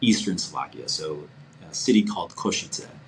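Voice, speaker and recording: Over noticeable background noise, a man with an American accent speaks at a fairly low pitch with lively intonation. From New York (Brooklyn, Long Island). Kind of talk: casual chat. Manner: halting, many repetitions.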